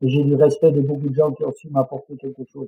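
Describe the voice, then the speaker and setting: His voice sounds somewhat breathy. This man's pitch is fairly high. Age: 60s. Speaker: mountain guide and adventurer. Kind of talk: interview conversation.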